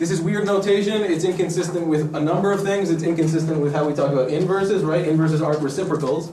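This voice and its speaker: A man with a high voice talks at a very fast pace in a room with audible echo and noticeable background noise. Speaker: math lecturer. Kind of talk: lecture.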